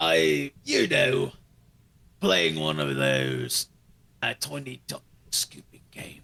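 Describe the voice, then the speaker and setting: A man's very deep, low, raspy put-on character voice, very slow, with long, frequent pauses. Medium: fan dub.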